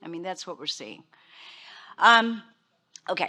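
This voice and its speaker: This woman has a Portuguese accent. Her voice sits at medium pitch with a bright, sharp tone. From Portugal. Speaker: behavioral health director. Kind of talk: conference presentation.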